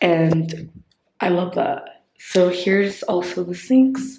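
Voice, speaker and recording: A woman whispers in a somewhat breathy way, with audible room echo around her. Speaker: vlogger. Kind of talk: casual vlog tour. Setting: indoors in a quiet convent. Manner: whispering; casual, filler-heavy.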